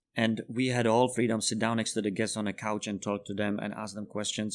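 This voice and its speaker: On a very clean recording with a silent background, a man with a Czech accent talks very fast in a fairly low, monotone, flat voice. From Czech Republic. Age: 30s. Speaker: bartender. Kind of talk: casual chat.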